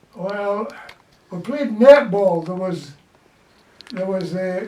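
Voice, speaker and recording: The speech moves at a very slow pace over noticeable background noise. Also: man, high pitch for a man, ordinary pitch variation. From Glasgow, Scotland. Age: 80s+. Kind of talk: interview answer.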